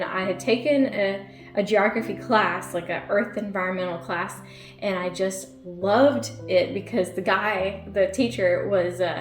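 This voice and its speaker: Music plays behind a woman with an American accent and a medium pitch, with audible room echo. She talks at a fairly slow pace with ordinary pitch variation. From Virginia. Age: 30s. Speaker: YouTuber. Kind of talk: casual chat. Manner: animated.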